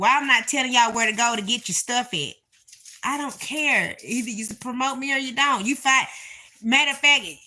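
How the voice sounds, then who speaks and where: A woman's raised, projected voice, high-pitched and bright and sharp in tone, at a fairly quick pace. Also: ordinary pitch variation. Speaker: livestreamer and self-described apostle. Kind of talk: casual livestream chat. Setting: livestream from her bed. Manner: animated, rambling.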